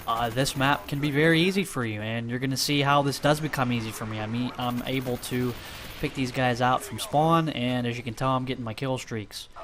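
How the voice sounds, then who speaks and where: Over noticeable background noise, a man talks at a fairly quick pace, his medium pitch showing ordinary variation. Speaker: gaming commentator. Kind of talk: gameplay commentary. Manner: stuttering, halting; casual, filler-heavy.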